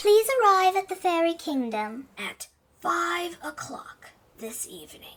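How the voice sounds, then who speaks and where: This put-on character voice sits at an extremely high pitch and sounds squeaky. Its pitch swings very widely. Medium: audio drama. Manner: quarrelsome, fussy.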